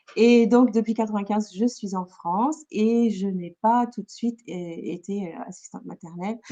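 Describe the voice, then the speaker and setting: A woman with a dark, mellow tone and a fairly high pitch speaks at a fairly slow pace with hardly any pauses, ordinary pitch variation and big swings in loudness. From Germany. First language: German (speaking French). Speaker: childminder. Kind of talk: podcast interview. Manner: hesitant.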